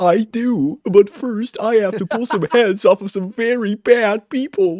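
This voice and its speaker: At a fairly slow pace, a man performs a put-on character voice pitched high. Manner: playful, menacing.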